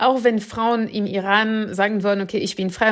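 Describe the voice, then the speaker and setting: A woman with a medium pitch talks in a monotone, flat intonation. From France. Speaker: political scientist and author. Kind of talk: interview.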